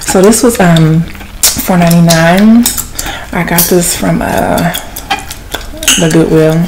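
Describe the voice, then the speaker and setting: A woman with a fairly low pitch and ordinary pitch variation speaks at a very slow pace with long, frequent pauses, amid noticeable background noise. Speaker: ASMR content creator and podcaster. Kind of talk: ASMR gum-chewing soft-spoken chat, casual rambling; whispered, intimate ASMR confiding, hushed close-mic murmur. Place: home room. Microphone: phone near.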